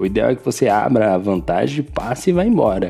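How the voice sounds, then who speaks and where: Speaking with a Brazilian accent, a man of medium pitch keeps a moderate pace. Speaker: sim racing podcast host. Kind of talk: post-race recap podcast. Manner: casual, filler-heavy with repetitions.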